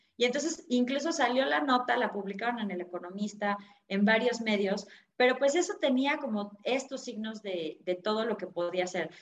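Fairly high-pitched, a normal speaking voice from a woman, lively in intonation and moderate in pace. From Mexico City. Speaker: personal finance author. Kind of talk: interview.

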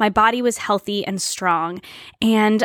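In an ordinary speaking voice, a woman talks at a moderate pace and fairly high pitch, in a dry, close sound with no echo and a very clean recording, silent background. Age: 30s. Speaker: podcast host. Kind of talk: casual monologue.

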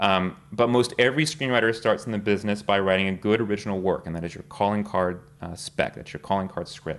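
A man with a normal speaking voice and an American accent talks at a fairly quick pace in a fairly low pitch, with ordinary pitch variation and big swings in loudness. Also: hardly any pauses. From Texas. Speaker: screenwriter. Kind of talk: lecture.

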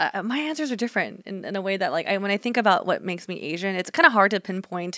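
Speaking very fast with hardly any pauses, a woman with an American accent has a bright, sharp tone at medium pitch. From Northern California. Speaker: podcast co-host. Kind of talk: casual chat.

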